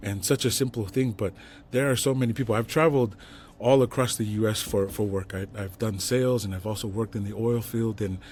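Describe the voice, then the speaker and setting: A man with a Tongan accent speaks at a fairly quick pace in a fairly low pitch. His voice is somewhat breathy, with fairly even intonation. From Salt Lake City, Utah (west side). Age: 40s. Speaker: entrepreneur. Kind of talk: casual interview.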